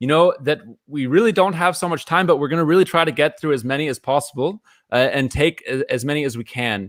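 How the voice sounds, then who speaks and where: A very fast pace in a dry, close sound with no echo. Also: man, fairly high pitch for a man, ordinary pitch variation. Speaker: event host, science student. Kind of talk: live online event moderation.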